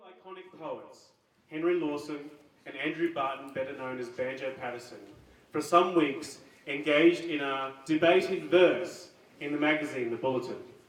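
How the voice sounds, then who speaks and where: A man with an Australian accent speaks at a moderate pace, his fairly high pitch held to fairly even intonation. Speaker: open mic host. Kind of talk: live event introduction.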